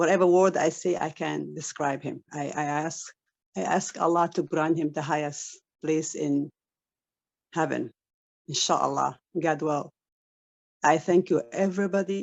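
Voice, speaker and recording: With an Arabic accent, a woman speaks at a fairly slow pace with long, frequent pauses, her very deep, low voice showing vocal fry and ordinary pitch variation. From Saudi Arabia, Somali family. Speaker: online business member. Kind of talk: testimony. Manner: halting.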